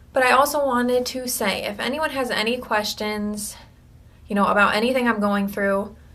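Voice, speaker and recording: A woman speaks in a bright, sharp tone at a fairly high pitch, with fairly even intonation and a moderate pace. Audible room echo fills the recording. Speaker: video blogger with cancer. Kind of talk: personal video diary. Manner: hesitant, many fillers.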